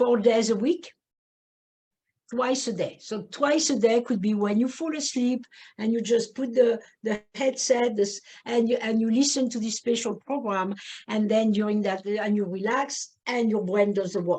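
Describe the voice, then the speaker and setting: Speaking in a French accent, a woman has a fairly high pitch and a dark, mellow tone. She goes at a fairly slow pace with fairly even intonation over a quiet background. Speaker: neurofeedback practitioner. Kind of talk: webinar presentation. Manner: halting, many fillers.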